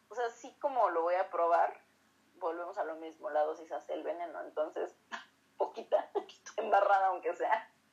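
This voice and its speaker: A woman with a Mexican accent speaks at a medium pitch. Her intonation is lively, and her loudness swings widely. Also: moderate pace. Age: 20s. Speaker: co-host, physician. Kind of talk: casual educational chat.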